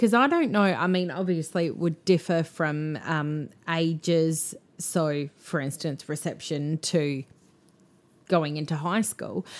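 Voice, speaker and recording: A woman speaks in a normal speaking voice, fairly low in pitch, with ordinary pitch variation. The recording is very clean, with a silent background. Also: fairly slow pace. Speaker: podcast co-host. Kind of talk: casual chat.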